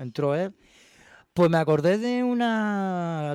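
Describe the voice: Over a very clean recording with a silent background, a man speaks at a high pitch and a fairly slow pace, his clear, smooth, slightly mellow tone captured in a dry, close sound with no echo and ordinary pitch variation.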